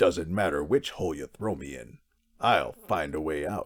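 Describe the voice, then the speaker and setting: Using a put-on character voice, a man with a very deep, low pitch talks at a moderate pace with lively intonation and big swings in loudness. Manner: dramatic, menacing.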